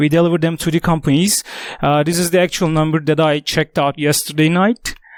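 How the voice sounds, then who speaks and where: In a very clean recording with a silent background, a man speaks in a high voice, the sound dry and close with no echo. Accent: non-native. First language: not English. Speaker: tech company executive. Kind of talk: conference talk. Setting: stage with audience. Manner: halting, many fillers.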